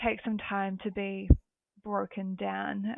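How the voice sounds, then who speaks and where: With a New Zealand accent, a woman speaks at a fairly slow pace. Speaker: recruitment consultant. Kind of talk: podcast interview. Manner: hesitant, with many fillers.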